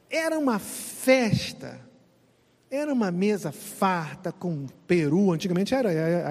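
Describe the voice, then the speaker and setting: A man's high voice against noticeable background noise. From Brazil. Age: 50s. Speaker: pastor. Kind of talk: casual chat.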